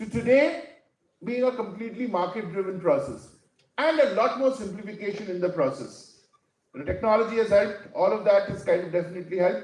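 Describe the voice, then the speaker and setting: A man speaks very fast in a high pitch with lively intonation. Audible room echo surrounds his voice. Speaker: academic keynote speaker. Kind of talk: conference keynote talk. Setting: stage with audience. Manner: halting, many fillers.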